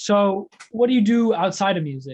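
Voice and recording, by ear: At a moderate pace, a man speaks with high pitch, lively intonation and a slightly mellow tone.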